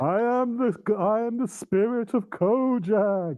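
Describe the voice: Putting on a character voice, a man speaks at a fairly slow pace with a high pitch.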